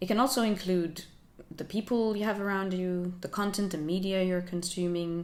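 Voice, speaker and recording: Amid audible room echo, a woman talks at a medium pitch and a fairly quick pace. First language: Finnish. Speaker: lifestyle YouTuber. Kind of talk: vlog talk to camera.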